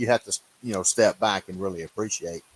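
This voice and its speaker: Very deep and low in pitch, a man speaks with an American accent and ordinary pitch variation. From Louisiana. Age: 70s. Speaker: turkey hunter. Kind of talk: casual chat.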